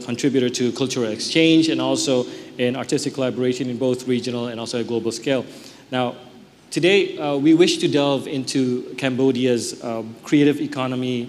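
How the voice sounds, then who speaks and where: A man talks at a fairly quick pace with fairly even intonation. There is light background noise. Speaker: panel moderator, news anchor. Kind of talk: formal event moderation. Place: hall.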